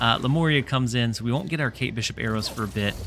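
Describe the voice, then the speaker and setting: This man talks at a very fast pace in a medium pitch with ordinary pitch variation, over noticeable background noise. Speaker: gaming streamer. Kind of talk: livestream gameplay commentary. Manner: calm.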